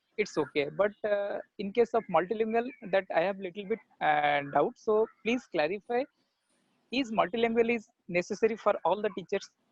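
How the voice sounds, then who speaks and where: Speech in an Odisha accent at a moderate pace. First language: Odia. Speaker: teacher asking a question. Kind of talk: audience question. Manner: halting.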